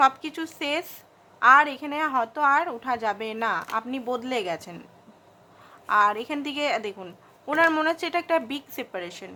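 Over a very clean recording with a silent background, a woman uses a raised, projected voice with a bright, sharp tone at a high pitch. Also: lively intonation. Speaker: tarot card reader. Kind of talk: tarot reading monologue.

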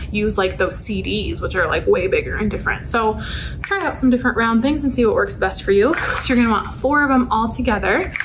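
A woman speaks fairly quickly while noticeable background noise runs underneath. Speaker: youth club instructor. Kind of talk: tutorial. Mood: friendly, upbeat. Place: classroom. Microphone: camera far.

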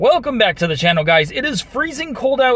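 The recording of this man's voice sounds dry, with no echo. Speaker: car owner vlogger. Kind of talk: casual vlog chat. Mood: mildly worried. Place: car. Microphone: phone near.

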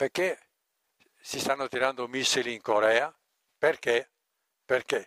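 Speaking slowly with long, frequent pauses, a man uses a bright, sharp tone and fairly even intonation, the sound dry with no echo against a quiet background. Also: medium pitch for a man. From Friuli, northeast Italy. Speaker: lecturer on ecological building and agriculture; lecturer on ecological building. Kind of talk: lecture. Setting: live audience event. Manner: conversational, informal. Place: tent. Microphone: headset.

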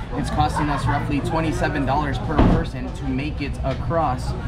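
A man at a moderate pace amid loud background noise. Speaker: travel vlogger. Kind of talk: casual vlog chat. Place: station. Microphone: phone near.

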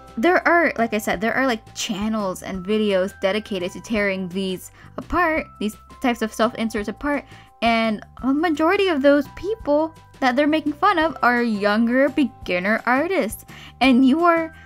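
Music plays behind a woman with a high pitch. She talks at a moderate pace with very wide pitch swings. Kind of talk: rant commentary over speedpaint.

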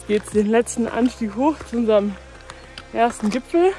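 The sound is dry, with no echo. A woman speaks over faint music in the background. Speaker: hobby trail runner vlogger. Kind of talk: casual vlog chat. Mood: cheerful. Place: forest. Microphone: phone near.

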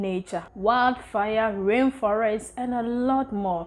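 A woman with a fairly high pitch and fairly even intonation, at a very slow pace. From Ghana. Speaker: content creator, travel vlogger. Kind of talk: casual vlog presentation. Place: home room.

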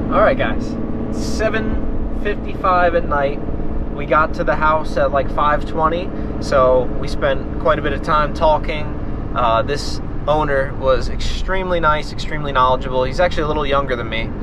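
The sound is dry, with no echo. Noticeable background noise sits behind it. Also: man, moderate pace. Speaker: small business owner vlogger. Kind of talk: casual vlog chat. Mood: upbeat, relaxed. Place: car. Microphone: phone near.

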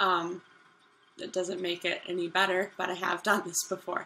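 A woman talks, her tone bright and sharp. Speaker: vlogger. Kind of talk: casual talk to camera. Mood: grateful, upbeat.

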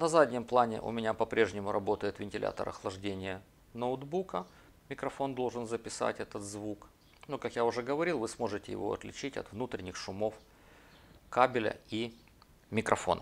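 A man with a medium pitch speaks at a moderate pace with ordinary pitch variation and long, frequent pauses. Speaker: video blogger. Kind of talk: tutorial. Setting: at a table with laptop.

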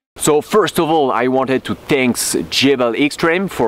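Recorded dry with no echo, a man speaks at a fairly slow pace with ordinary pitch variation. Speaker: off-road vlogger. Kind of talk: casual vlog chat. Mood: upbeat, thankful. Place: open country. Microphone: phone near.

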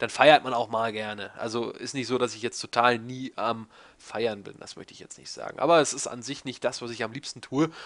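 A man talks at a fairly quick pace and medium pitch, his intonation fairly even but his loudness swinging widely, against a quiet background. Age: 20s. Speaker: YouTuber answering viewer questions. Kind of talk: casual monologue, Q&A video. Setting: home recording in desk chair. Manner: rambling, talkative.

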